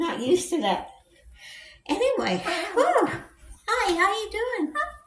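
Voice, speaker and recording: Audible room echo and noticeable background noise surround a woman with an extremely high pitch. She speaks at a fairly slow pace, her intonation lively. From Indiana. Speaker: vlogger. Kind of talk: casual Q&A vlog. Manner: halting, with many fillers.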